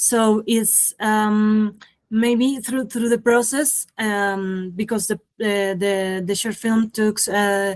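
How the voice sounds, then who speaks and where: Very slow, fairly even speech from a woman at a fairly high pitch. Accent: Colombian. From Colombia. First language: Spanish. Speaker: animator and filmmaker. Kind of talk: interview. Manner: halting, many fillers.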